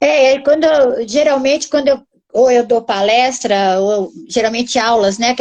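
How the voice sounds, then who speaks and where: At a moderate pace, a woman talks in an ordinary speaking voice. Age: 60s. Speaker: housing researcher and author. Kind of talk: live-stream interview.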